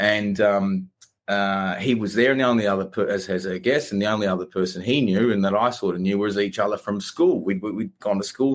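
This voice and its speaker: Speaking at a fairly quick pace, a man with an Australian accent uses a fairly low pitch. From Australia, Melbourne. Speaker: company founder. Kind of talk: podcast interview. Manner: many fillers and repetitions.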